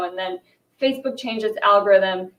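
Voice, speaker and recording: With a New York accent, a woman talks at a fairly quick pace and medium pitch, keeping her intonation fairly even. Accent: American, New York. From US, New York. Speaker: fashion and culture journalist. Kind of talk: panel discussion.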